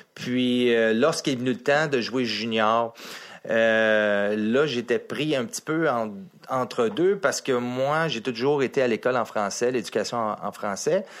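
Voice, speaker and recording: Speaking with a Quebec accent, a man talks very slowly with ordinary pitch variation on a very clean recording with a silent background. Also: medium pitch for a man. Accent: Québécois French. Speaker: former NHL hockey player. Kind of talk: casual chat.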